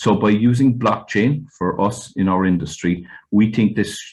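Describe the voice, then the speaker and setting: A man speaks with a West Cork accent. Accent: West Cork Irish. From Ireland, West Cork. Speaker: fishing industry representative. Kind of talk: webinar panel talk. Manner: hesitant, many fillers.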